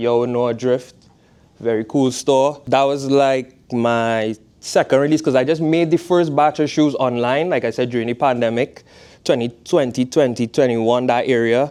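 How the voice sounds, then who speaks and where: A man with a Trinidadian accent speaks at medium pitch and a moderate pace, his tone dark and mellow. His intonation is fairly even, his loudness very even, and the background quiet. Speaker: fashion designer, footwear brand founder. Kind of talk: guest talk to a class. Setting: classroom. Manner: casual.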